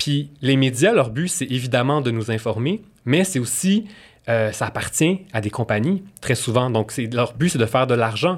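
A man with a Quebec accent, medium in pitch, lively in intonation and fairly slow in pace, on a very clean recording with a silent background. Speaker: nutritionist. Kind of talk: interview.

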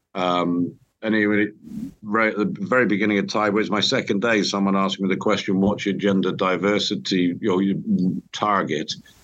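A man with a British accent, fairly low in pitch and fairly quick, with fairly even intonation and very even loudness. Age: 60s. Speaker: construction company chief executive. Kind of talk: interview, casual chat.

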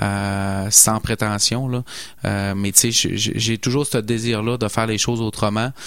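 In a Saguenay accent, a man speaks very slowly at a fairly low pitch with monotone, flat intonation. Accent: Saguenay Quebec French. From Saguenay, Quebec. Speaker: landscaping entrepreneur. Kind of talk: radio interview.

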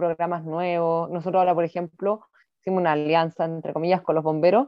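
A woman with an unremarkable speaking voice, fairly low in pitch, with ordinary pitch variation. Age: 30s. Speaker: mayor. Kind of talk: interview.

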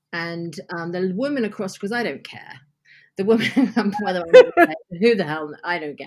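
A woman with an unremarkable speaking voice and medium pitch uses lively intonation in a very clean recording with a silent background. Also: moderate pace, big swings in loudness. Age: 50s. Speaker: podcast guest. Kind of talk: casual chat.

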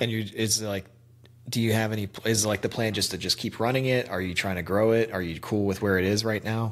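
In a plain, everyday voice, a man talks at a fairly quick pace with fairly low pitch and fairly even intonation. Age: 30s. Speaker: podcast host. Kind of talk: casual chat.

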